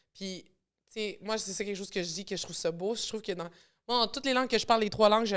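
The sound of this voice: A woman in a Montreal accent at a very fast pace, fairly high in pitch, with fairly even intonation, big swings in loudness, and a very clean recording against a silent background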